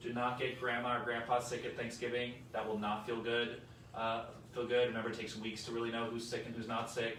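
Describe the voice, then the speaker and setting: A man talks at a fairly quick pace and a medium pitch, with monotone, flat intonation. Noticeable background noise and audible room echo fill the recording. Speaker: hospital chief medical officer. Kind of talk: health update talk with Q&A. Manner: loud talker; casual, conversational with many fillers.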